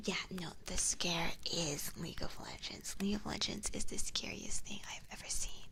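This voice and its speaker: Whispering at a fairly slow pace, a woman is heard with audible room echo and noticeable background noise. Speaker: VTuber streamer.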